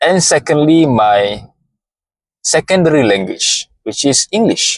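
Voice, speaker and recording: Speaking with a Malaysian accent, a man uses a fairly high pitch with very wide pitch swings, and the sound is dry and close with no echo. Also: fairly slow pace. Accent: non-native English, Malaysian. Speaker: motivational content creator. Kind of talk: motivational monologue.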